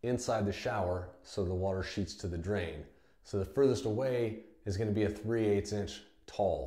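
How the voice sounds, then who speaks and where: With audible room echo, a man speaks at a moderate pace in a dark, mellow, somewhat breathy tone and with ordinary pitch variation. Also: quiet background. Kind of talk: tutorial. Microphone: camera far.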